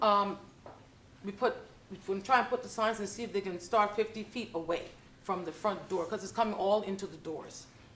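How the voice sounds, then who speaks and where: With noticeable background noise, an American woman with an American accent talks at a fairly quick pace and a medium pitch, her intonation fairly even but her loudness swinging widely. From New York. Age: 60s. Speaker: public housing resident. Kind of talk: public comment at board meeting. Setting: public board meeting.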